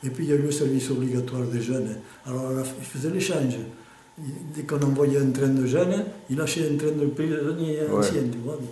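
Fairly even intonation at a fairly quick pace, with audible room echo and light background noise. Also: man. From Aude, France. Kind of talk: interview answer. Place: home room. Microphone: phone near.

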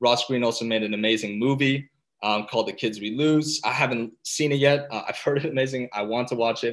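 The man's voice has a fairly low pitch, a fairly bright tone and fairly even intonation.

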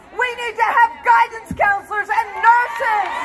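Amid crowd noise, a woman speaks in a raised, projected voice with ordinary pitch variation. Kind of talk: rally speech. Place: street. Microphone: pa.

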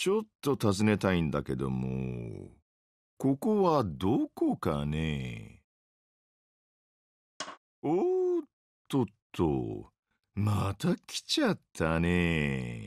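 A put-on character voice from a man, very deep and low in pitch, drawling at a very slow pace with long, frequent pauses, in a very clean recording with a silent background. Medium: dub. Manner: laid-back, drawling, sarcastic.

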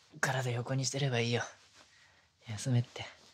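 A soft-spoken, somewhat breathy man at medium pitch, with light background noise. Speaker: ASMR voice actor. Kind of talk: ASMR situational pillow talk, intimate roleplay whisper. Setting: binaural ASMR studio recording. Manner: soft, tender, sweet, bashful, laughing softly. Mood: very sweet, gentle, intimate. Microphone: studio mic.

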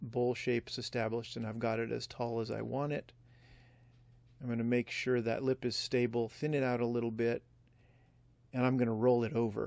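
In a dry recording with no echo and a quiet background, a man talks at a moderate pace. His delivery is flat and monotone, with long, frequent pauses. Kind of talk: tutorial. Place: workshop.

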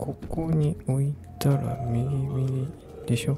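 Over clear music in the background, a man whispers quietly in a soothing tone, the sound dry with no echo. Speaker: ASMR game streamer. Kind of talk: casual talk to camera while playing a game. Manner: quiet, whispery, slow, soothing. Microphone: studio mic.

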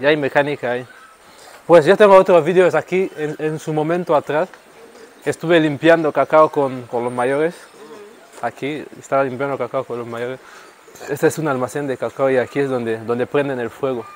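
A man talks at a moderate pace, leaving long, frequent pauses. His pitch varies in an ordinary way, and the dry, echo-free sound carries light background noise. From Equatorial Guinea, Rebola (Bioko). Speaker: singer. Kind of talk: casual tour guide chat. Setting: outdoors. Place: street. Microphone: phone near.

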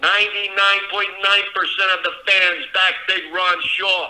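A man's raised, projected voice over a quiet background. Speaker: guest. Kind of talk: interview answer. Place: kitchen. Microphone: video call.

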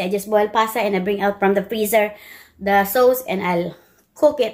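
This woman talks at a fairly slow pace. She shows ordinary pitch variation. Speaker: home cooking vlogger. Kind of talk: casual vlog chat. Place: kitchen. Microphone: phone near.

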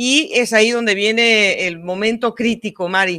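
At a fairly slow pace, a woman with a fairly high pitch talks in a bright, sharp tone against a quiet background. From Mexico. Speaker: cycling podcast host. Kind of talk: casual sports talk and interviews. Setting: remote video call. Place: home room.

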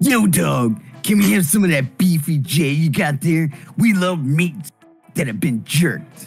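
Over faint background music, a man performs a put-on character voice at a fairly high pitch. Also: moderate pace. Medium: game stream. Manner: casual, slangy.

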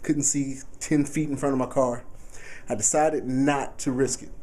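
A man speaks with an American accent. His pitch is fairly high, and his pace is moderate. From Texas. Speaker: sports blogger / video reporter. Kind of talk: casual video blog. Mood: relaxed, joking. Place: home room. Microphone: phone near.

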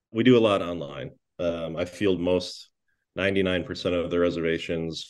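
A man with an Upper Midwest accent speaks at a fairly slow pace with a very deep, low pitch and fairly even intonation, over a quiet background. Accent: Upper Midwest American. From La Crosse, Wisconsin. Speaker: chef and restaurant owner. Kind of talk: casual interview.

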